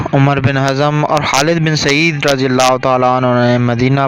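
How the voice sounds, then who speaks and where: A man talks in a monotone, flat manner. Noticeable background noise runs behind him. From Pakistan. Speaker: voice-over artist. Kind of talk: historical story narration.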